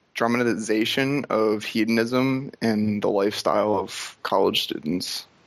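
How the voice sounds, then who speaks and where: A man with medium pitch and an unremarkable speaking voice, at a fairly slow pace with ordinary pitch variation. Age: young. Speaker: college student caller. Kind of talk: phone-in advice call.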